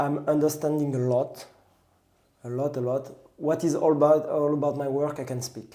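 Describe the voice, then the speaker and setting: A man speaks at a moderate pace in a French accent, his pitch fairly high. His tone is dark and mellow, and his intonation stays monotone and flat. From France, southwest near the Pyrenees. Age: 30s. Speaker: pastry chef and trail runner. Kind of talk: casual interview chat. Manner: halting, with self-corrections.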